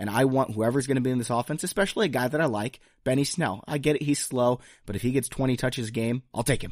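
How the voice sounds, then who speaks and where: Here a man talks very fast at a medium pitch with ordinary pitch variation. The recording is very clean, with a silent background. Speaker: fantasy football podcast host. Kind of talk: casual banter and draft analysis. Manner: joking, casual.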